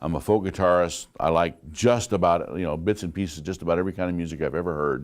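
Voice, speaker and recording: A man's very deep, low voice with ordinary pitch variation and hardly any pauses, in a very clean recording with a silent background. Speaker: college instructor. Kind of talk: lecture. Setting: classroom. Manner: loud.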